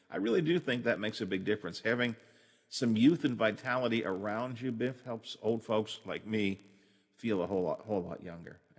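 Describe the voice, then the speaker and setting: Over a quiet background, a man speaks at a fairly quick pace, with a medium pitch and ordinary pitch variation. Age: 60s. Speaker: radio show host. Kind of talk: casual chat. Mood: warm, chatty, reminiscing. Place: home room. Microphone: studio mic.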